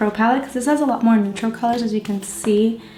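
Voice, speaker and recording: There's noticeable noise behind this woman's voice. Her intonation stays fairly level. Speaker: beauty vlogger. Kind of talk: makeup tutorial. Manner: casual, chatty.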